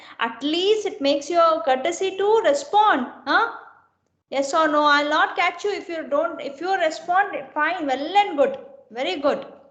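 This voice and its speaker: A woman's extremely high voice makes very wide pitch swings, with audible room echo around it. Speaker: engineering lecturer. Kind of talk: online lecture. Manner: slow; repetitive, questioning students.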